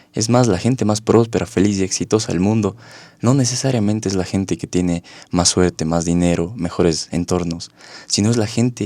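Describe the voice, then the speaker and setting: Talking at a fairly quick pace, a man has a fairly low pitch and a plain, everyday voice. His pitch varies in an ordinary way, and the recording is very clean with a silent background. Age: 20s. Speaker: psychologist and life coach. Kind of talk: interview.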